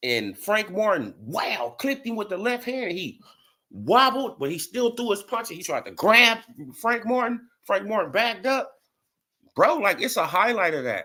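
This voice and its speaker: With a New Orleans accent, a man projects a raised voice, high-pitched with a bright, sharp tone, at a moderate pace. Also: ordinary pitch variation. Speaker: boxing YouTube streamer. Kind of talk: live stream commentary. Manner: animated.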